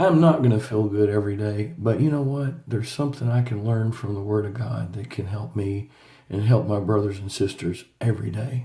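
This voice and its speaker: The voice has a dark, mellow tone and is somewhat breathy. It moves at a fairly quick pace with ordinary pitch variation. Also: man, fairly low pitch for a man, very clean recording, silent background. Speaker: Bible teacher. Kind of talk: Bible study reading.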